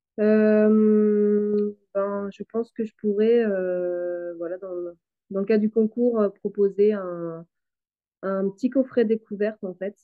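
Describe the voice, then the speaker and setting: With music in the background, a woman at a medium pitch speaks very slowly in a monotone, flat intonation while her loudness swings widely. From western Brittany, France. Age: 30s. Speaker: farmer and soap maker. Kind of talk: interview.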